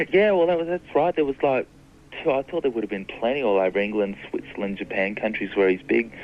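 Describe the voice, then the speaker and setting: Very fast speech from a man with an Australian accent, medium pitch and very wide pitch swings. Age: young. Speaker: fan club founder. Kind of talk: radio interview. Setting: phone call.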